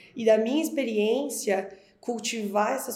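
With audible room echo and noticeable background noise, a woman speaks at a fairly high pitch with fairly even intonation. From Florianópolis, southern Brazil. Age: 30s. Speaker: brand strategist. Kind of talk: podcast interview.

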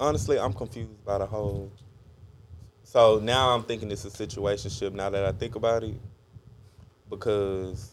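The delivery keeps a moderate pace with monotone, flat intonation. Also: man. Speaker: podcast co-host. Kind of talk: casual chat.

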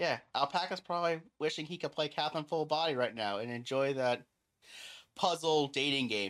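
At a fairly quick pace, a man with a fairly high pitch and ordinary pitch variation has an unremarkable speaking voice, heard on a very clean recording with a silent background. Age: 20s. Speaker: gaming podcast host. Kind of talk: casual chat.

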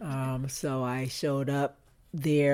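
With an American accent, a woman speaks in a very deep, low pitch and fairly even intonation. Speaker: retired Coast Guard master chief. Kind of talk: casual interview, storytelling.

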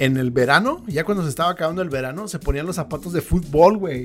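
Against noticeable background noise, a man talks at a very fast pace with a fairly high pitch. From California, US, Mexican-American family. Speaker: podcast host. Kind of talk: casual chat. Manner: animated.

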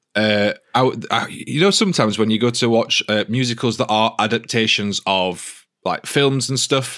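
The speaker talks at a moderate pace with a British accent. The recording is very clean, with a silent background. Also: man, medium pitch for a man, ordinary pitch variation, very even loudness. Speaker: podcast host. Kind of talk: casual chat. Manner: jokey.

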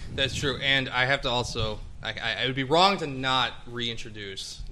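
Noticeable background noise behind a man speaking at medium pitch and a moderate pace. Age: 20s. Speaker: podcast host. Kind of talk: casual chat. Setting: music studio.

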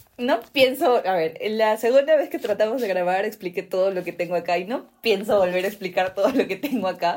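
At a fairly quick pace, a woman talks in a normal speaking voice at medium pitch with lively intonation. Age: 20s. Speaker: podcast co-host. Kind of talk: casual chat.

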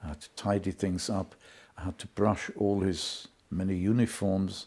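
A man speaks with a slight German accent, his fairly low voice keeping a fairly even intonation. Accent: slight German-accented British English. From Germany. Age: 80s+. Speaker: Holocaust survivor. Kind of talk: testimony. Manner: clear and logical; dignified, measured.

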